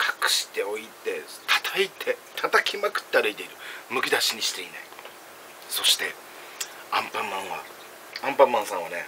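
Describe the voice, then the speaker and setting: A man at a fairly quick pace, broken by long, frequent pauses, over light background noise. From Okinawa/Kagoshima region. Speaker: food and drink vlogger; drink vlogger. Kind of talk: casual solo vlog while eating and drinking. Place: home room. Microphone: phone near.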